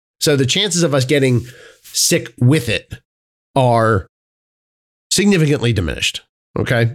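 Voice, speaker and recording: Vocal fry runs through this voice, which keeps a very even loudness and a moderate pace broken by long, frequent pauses. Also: man, medium pitch for a man. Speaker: podcast co-host. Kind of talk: casual chat. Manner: halting.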